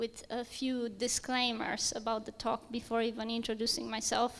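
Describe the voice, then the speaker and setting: A woman with a Romanian accent talks at a moderate pace in a fairly high pitch, her intonation monotone and flat. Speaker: software engineer. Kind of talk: conference talk.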